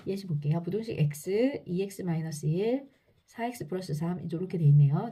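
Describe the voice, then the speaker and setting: A woman's fairly low, dark, mellow voice, somewhat breathy, with lively intonation at a fairly quick pace. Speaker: math teacher. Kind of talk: lecture. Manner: fast.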